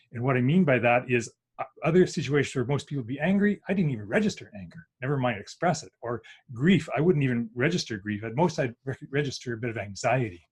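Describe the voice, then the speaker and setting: This man talks at a very fast pace with medium pitch, lively intonation and a somewhat breathy sound. His loudness swings widely. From Saskatchewan, Canadian prairies. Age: 60s. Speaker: workshop presenter, former engineer. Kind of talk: online presentation. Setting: group video call.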